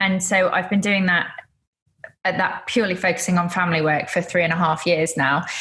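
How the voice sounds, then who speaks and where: Speaking with a British accent, a woman uses a fairly low pitch and fairly even intonation. Her pace is fairly quick and her loudness stays very even. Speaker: photographer. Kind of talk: interview.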